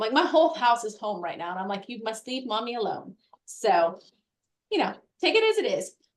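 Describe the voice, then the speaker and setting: Here is a woman speaking. She goes at a fairly quick pace. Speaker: real estate operations director and workshop host. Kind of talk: online workshop wrap-up. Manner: fast; animated.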